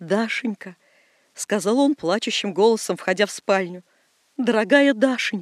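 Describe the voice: Plain reading aloud, with ordinary pitch variation against a quiet background.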